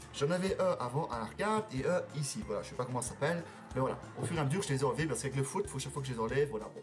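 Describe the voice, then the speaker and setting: A man's fairly high voice with a Belgian accent, very fast and lively in intonation, over music in the background. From Belgium, Liège. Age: 20s. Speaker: YouTuber. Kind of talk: casual vlog Q&A. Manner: hesitant, many fillers.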